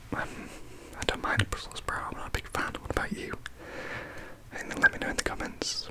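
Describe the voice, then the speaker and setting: A man whispers in a relaxed tone at a fairly quick pace over noticeable background noise. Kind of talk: whispered ASMR facts reading. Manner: whispered, soft, relaxed.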